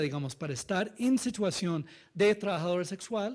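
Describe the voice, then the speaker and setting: The speaker has a non-native accent and a fairly slow pace, with very wide pitch swings. The recording is very clean, with a silent background. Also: man. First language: not Spanish (speaking Spanish). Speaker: NGO director and researcher presenting study findings. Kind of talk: conference presentation. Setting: seminar with live audience. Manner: halting, with frequent fillers and self-corrections.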